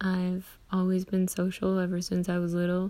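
On a very clean recording with a silent background, a woman speaks with monotone, flat intonation and a dark, mellow tone. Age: 20s. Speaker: podcaster. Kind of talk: personal monologue. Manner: casual, many fillers and pauses.

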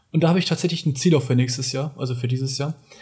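This man's voice sits at a fairly high pitch, with a dark, mellow tone. It comes across somewhat breathy. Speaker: podcast co-host. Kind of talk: casual chat.

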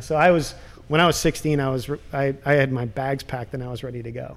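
A man with a plain, everyday voice, fairly high in pitch, with fairly even intonation. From US Midwest, suburb of Minneapolis, Ukrainian immigrant family. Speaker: TV producer and director. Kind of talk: interview.

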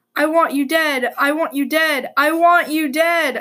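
A woman's put-on character voice, shrill and high-pitched, fairly slow, with monotone, flat intonation. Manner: shrieking.

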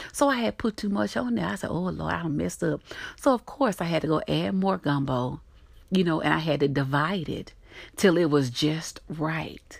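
A woman with a Southern US accent speaks at a moderate pace in a very deep, low voice with vocal fry and very wide pitch swings. Her tone is animated and warm, on a very clean recording with a silent background. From US South. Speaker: podcast host. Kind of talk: solo podcast talk, encouraging. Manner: animated, warm, laughs often.

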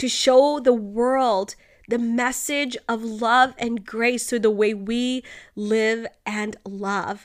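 A woman's warm tone at a fairly high pitch, very slow in pace and fairly even in intonation, on a very clean recording with a silent background. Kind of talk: devotional reading and fervent prayer. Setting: home, snowy morning with coffee. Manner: earnest, warm, fervent.

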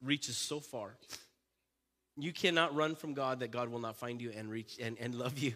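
A man's bright, sharp, animated tone with ordinary pitch variation at a moderate pace. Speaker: preacher. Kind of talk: sermon with closing prayer. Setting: church with live congregation. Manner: animated, call-and-response with congregation.

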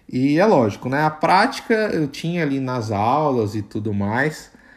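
At a fairly slow pace, a man speaks in a normal speaking voice with ordinary pitch variation. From Brazil. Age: 20s. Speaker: product manager. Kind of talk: casual interview chat.

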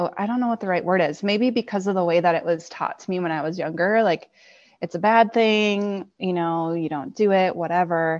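A woman speaks at a fairly quick pace in an ordinary speaking voice, with medium pitch and ordinary pitch variation. The background is quiet. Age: 30s. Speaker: physical therapist and podcast guest. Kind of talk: personal testimony in interview.

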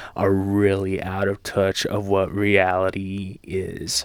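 A man's fairly low voice at a very slow pace, on a very clean recording with a silent background. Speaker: podcast host. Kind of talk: casual solo monologue with heavy swearing. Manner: casual, rambling, profane.

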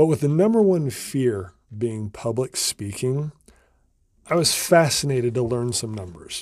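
A man with an American accent, fairly slow and with lively intonation, on a very clean recording with a silent background. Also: medium pitch for a man. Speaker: comedy podcast host. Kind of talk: solo podcast monologue. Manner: rambling.

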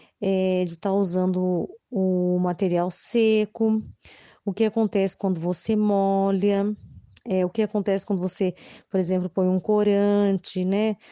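A woman's medium-pitched voice, dark and mellow in tone, monotone with flat intonation and very even loudness, in a dry, close sound with no echo and a quiet background. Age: 30s. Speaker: preschool teacher. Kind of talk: interview. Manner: hesitant, frequent fillers.

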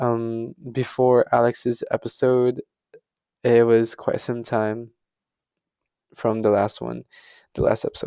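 The man speaks at a very slow pace, with long, frequent pauses. His recording has a dry, close sound with no echo. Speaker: podcast host. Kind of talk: solo personal monologue. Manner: flat, monotone delivery; halting.

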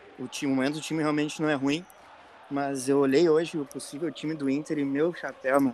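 The man talks at a fairly quick pace. His pitch is fairly high, and his intonation is monotone and flat. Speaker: football podcast co-host. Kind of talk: casual chat.

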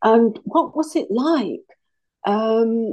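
A woman's voice, dark and mellow in tone, moves through very wide pitch swings. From England, Leicestershire. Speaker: author and farmer. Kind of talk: interview. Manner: halting.

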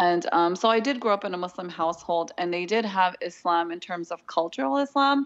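A woman's fairly low voice with a Californian accent, running on with hardly any pauses. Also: lively intonation, fairly quick pace. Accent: Californian American. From Southern California. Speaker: seminary graduate, graphic designer and mother. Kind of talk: interview conversation.

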